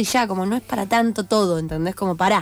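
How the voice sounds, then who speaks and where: Fairly even intonation from a woman at a medium pitch. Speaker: singer-songwriter and producer. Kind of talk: radio interview. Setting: radio studio. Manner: halting, many fillers.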